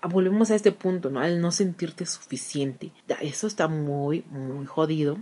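Dark and mellow in tone, a woman's fairly low voice moves at a moderate pace with ordinary pitch variation. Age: 30s. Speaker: podcast host and journalist. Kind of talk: solo monologue.

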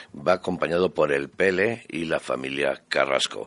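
With vocal fry and a very deep, low pitch, a man talks at a fairly slow pace over a quiet background. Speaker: radio host. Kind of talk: radio show presenting. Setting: radio studio. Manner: warm, chatty.

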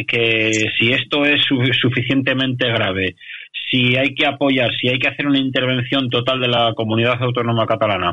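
Man's voice of medium pitch, moderate pace and ordinary pitch variation. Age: 40s. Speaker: radio commentator. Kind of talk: radio talk show discussion. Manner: halting.

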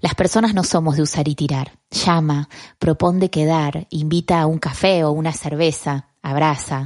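Speaking at a fairly slow pace, a woman uses a very deep, low pitch with ordinary pitch variation. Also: dry, close sound with no echo. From Argentina. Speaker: podcast host, communicator. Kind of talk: motivational podcast monologue.

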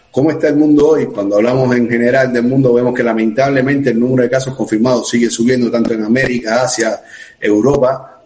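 A man at medium pitch talks very fast, keeping his loudness very even and his intonation fairly even, with noticeable background noise behind him. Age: 40s. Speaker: emergency doctor. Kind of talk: live-streamed interview. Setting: video call.

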